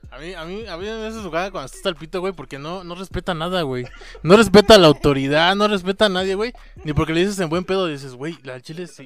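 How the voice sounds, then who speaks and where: This man talks at a very fast pace with a Mexican accent. His pitch is high, with ordinary variation. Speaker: friend of the host. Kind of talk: casual chat.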